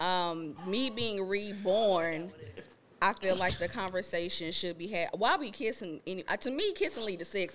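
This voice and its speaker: Pitched at a medium level, this woman has a plain, everyday voice. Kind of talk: casual chat. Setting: studio with live audience.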